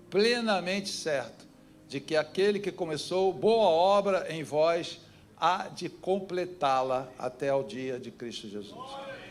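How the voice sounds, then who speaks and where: At a very slow pace, a man with a high pitch makes very wide pitch swings and big swings in loudness, over noticeable background noise. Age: 70s. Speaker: pastor. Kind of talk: sermon. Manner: animated.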